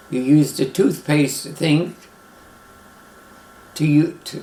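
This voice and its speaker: A man with a New York accent talks at a fairly slow pace against noticeable background noise. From Brooklyn, New York. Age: 90s. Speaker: retired airline pilot. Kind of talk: life story interview.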